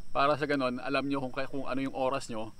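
A man speaks at a moderate pace in a dry recording with no echo. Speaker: cycling vlogger. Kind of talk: casual vlog chat. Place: open country.

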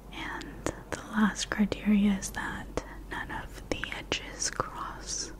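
Whispering and soft-spoken, a woman talks at a very slow pace amid noticeable background noise. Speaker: ASMR creator. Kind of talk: soft-spoken educational explanation. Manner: soft ASMR whisper close to mic. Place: home room. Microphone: studio mic.

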